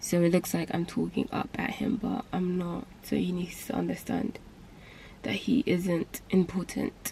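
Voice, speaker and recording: A woman whispering at a fairly slow pace. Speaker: booktube vlogger. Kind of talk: casual vlog rant.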